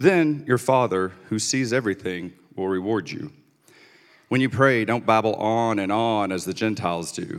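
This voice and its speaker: Recorded very cleanly against a silent background, a plain, everyday voice moves at a moderate pace with ordinary pitch variation. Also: man. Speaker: scripture reader. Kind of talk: scripture reading.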